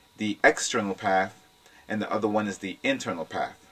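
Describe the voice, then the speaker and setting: The speaker is a man. His pitch sits fairly low. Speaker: video blogger on religion and philosophy. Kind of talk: informal lecture. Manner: fast talker.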